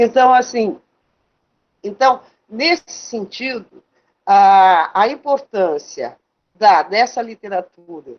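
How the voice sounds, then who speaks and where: A woman speaks with lively intonation. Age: 60s. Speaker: writer. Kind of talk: panel discussion. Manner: halting.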